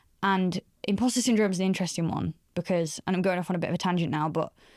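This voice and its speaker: A woman with a northern English accent at medium pitch and a very fast pace, with ordinary pitch variation, on a very clean recording with a silent background. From northern England, Doncaster. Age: 30s. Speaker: career expert. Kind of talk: podcast interview. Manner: conversational, many fillers.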